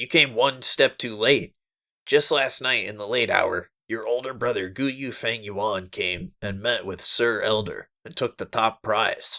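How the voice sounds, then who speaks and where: Talking at a fairly slow pace, the man adopts a put-on character voice. It sounds raspy and sits at a medium pitch. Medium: read story.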